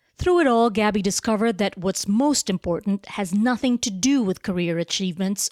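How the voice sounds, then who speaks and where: In a normal speaking voice, a woman talks at a moderate pace at medium pitch with ordinary pitch variation and very even loudness. The sound is dry and close with no echo, in a very clean recording with a silent background. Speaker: journalist. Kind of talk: documentary narration.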